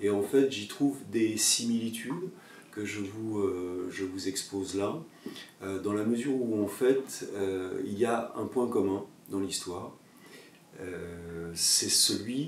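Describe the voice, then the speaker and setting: Audible room echo and noticeable background noise surround the recording. A man with a fairly low pitch speaks at a very slow pace with ordinary pitch variation. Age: 60s. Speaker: yoga teacher and former photojournalist. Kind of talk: personal video monologue. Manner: halting, many hesitations.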